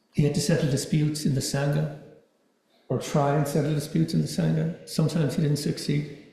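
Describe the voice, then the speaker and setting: A soft-spoken man with fairly high pitch and vocal fry talks at a very fast pace with fairly even intonation. Audible room echo is present. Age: 60s. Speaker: dharma talk speaker. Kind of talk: dharma talk. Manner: halting, repeats words.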